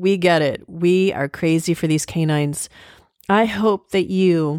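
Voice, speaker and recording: A woman with an American accent speaks at a fairly slow pace in a plain, everyday voice. Her pitch is fairly low and her intonation fairly even, with a dry, close sound and no echo. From USA. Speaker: podcast host. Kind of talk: scripted narration; casual chat. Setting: in person.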